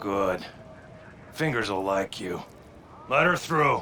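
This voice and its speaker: A man puts on a raspy, fairly low character voice with very wide pitch swings. He speaks at a fairly slow pace over clear background noise. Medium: video game. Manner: leering, drawling.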